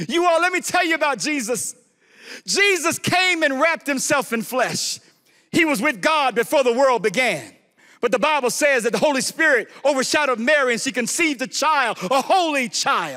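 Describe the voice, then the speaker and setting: Raised and projected, a man's extremely high voice with an American accent comes at a moderate pace, bright, sharp and animated in tone, with lively intonation. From Chicago, US. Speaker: guest preacher. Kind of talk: sermon. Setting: church.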